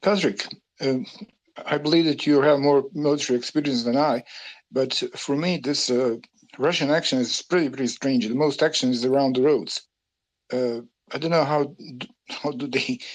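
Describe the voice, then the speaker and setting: A man's medium-pitched voice at a moderate pace, with ordinary pitch variation and long, frequent pauses, against a quiet background. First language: not English. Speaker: war veteran. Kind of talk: panel discussion. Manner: halting.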